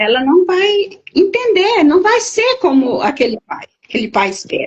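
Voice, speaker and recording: This woman's voice sits at an extremely high pitch with very wide pitch swings. She talks at a fairly slow pace. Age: 70s. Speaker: therapist. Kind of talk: interview.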